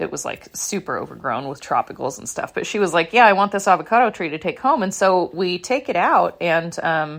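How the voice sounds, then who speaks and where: An unremarkable speaking voice from a woman, fairly low in pitch, fairly quick in pace and lively in intonation. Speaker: podcast host, houseplant coach. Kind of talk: casual monologue. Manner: rambling, filler-heavy.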